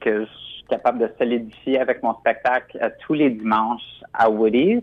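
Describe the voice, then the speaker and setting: A man is speaking. His pace is fairly slow. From Quebec. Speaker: drag queen performer. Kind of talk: radio interview.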